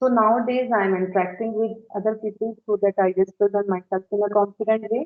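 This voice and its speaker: A woman with an Indian accent, medium pitch, fairly even intonation and a fairly quick pace. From India, Uttar Pradesh. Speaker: homemaker practicing English conversation. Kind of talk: casual conversation practice.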